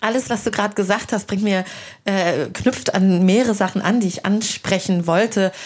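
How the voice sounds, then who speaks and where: Here is an ordinary speaking voice from a woman at a medium pitch. She speaks at a moderate pace with fairly even intonation. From Hesse, Germany. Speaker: podcast host and culture journalist. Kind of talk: casual interview over a meal. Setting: at a dining table, eating.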